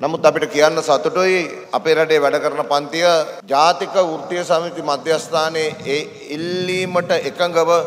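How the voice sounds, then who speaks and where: Over light background noise, a man with a fairly high pitch speaks at a very slow pace and with fairly even intonation. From Sri Lanka. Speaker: trade union leader; speaker. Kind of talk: political rally speech. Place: hall. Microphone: podium.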